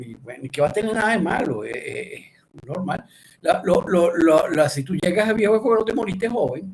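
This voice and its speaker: Lively intonation paired with big swings in loudness. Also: man, high pitch for a man, moderate pace. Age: 60s. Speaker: speech pathology lecturer. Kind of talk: lecture. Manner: hesitant, many fillers and restarts.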